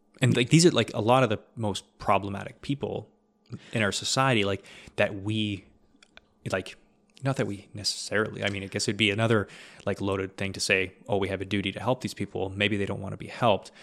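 Fairly quick, fairly even speech from a man, a plain, everyday voice, fairly low in pitch. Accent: Canadian. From Ontario, Canada. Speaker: podcast host. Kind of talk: casual chat.

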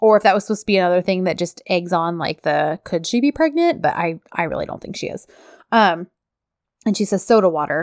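Very fast and animated, a woman speaks with ordinary pitch variation in a very clean recording with a silent background and a dry, close sound with no echo. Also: medium pitch for a woman. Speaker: podcast co-host recapping a TV series. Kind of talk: casual chat.

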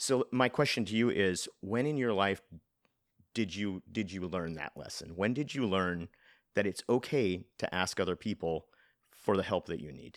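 Over a silent background in a very clean recording, a man with an ordinary speaking voice talks at a moderate pace and fairly low pitch with lively intonation. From Nebraska and rural Kansas, then California from age 12. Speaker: podcast host. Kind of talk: interview.

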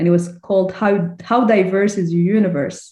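Her tone dark and mellow, a woman speaks somewhat breathily at medium pitch with fairly even intonation. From Sudan. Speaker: infectious disease physician. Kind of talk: interview conversation.

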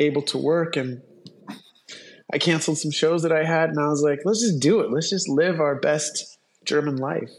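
Music plays in the background as a woman with a very deep, low pitch speaks at a moderate pace. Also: ordinary pitch variation. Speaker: podcast co-host. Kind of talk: casual chat. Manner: halting.

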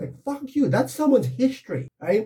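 At a moderate pace, a man with an American accent speaks in a dark, mellow tone that is somewhat breathy. His pitch swings very widely. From United States. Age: 40s. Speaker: photographer. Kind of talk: casual chat.

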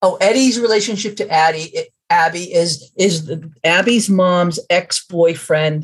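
Somewhat breathy female voice, fairly low in pitch, at a fairly slow pace. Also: ordinary pitch variation. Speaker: author. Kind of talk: interview. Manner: halting.

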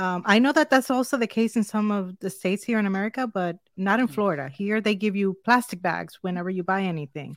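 A woman with a Spanish accent talks at a very fast pace with lively intonation and hardly any pauses. The recording is very clean with a silent background and a dry, close sound with no echo. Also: medium pitch for a woman. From Dominican Republic. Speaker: tech reviewer. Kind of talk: casual chat. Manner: upbeat.

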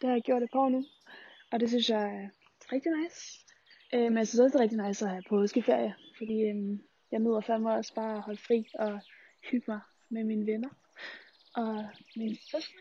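A woman with a fairly high pitch talks at a fairly quick pace with fairly even intonation, pausing long and often. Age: 20s. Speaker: student radio host. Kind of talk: vlog-style monologue. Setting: outdoors.

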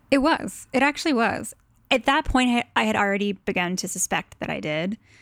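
A woman with a plain, everyday voice talks at a fairly quick pace with lively intonation, recorded very cleanly with a silent background and a dry, close sound with no echo. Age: 30s. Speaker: design blogger. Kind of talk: interview.

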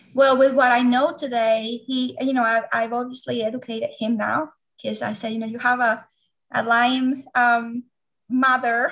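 A woman with a Venezuelan accent talks at a moderate pace in a high pitch with monotone, flat intonation. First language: Spanish. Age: 40s. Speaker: doctoral candidate and Lyme disease patient. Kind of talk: interview.

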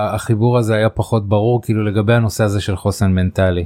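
Dark, mellow male voice with a fairly low pitch and fairly even intonation, in a very clean recording with a silent background. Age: older than the 35-year-old guest. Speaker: podcast host. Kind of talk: interview. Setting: studio. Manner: halting.

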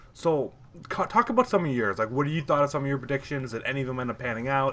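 The man talks at a very fast pace, medium in pitch with ordinary pitch variation. There is noticeable background noise. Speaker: esports podcast co-host. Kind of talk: casual chat.

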